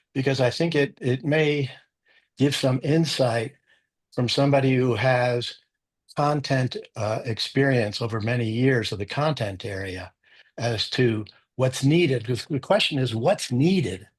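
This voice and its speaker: The background is quiet as a man talks at a fairly slow pace. His voice is somewhat breathy. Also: medium pitch for a man, ordinary pitch variation. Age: 80s+. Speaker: retired lawyer. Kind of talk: casual group discussion.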